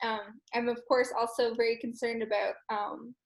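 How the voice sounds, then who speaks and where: A woman talks at a moderate pace with an Irish accent. Her pitch is high. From Ireland. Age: 20s. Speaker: roundtable participant. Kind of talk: roundtable discussion.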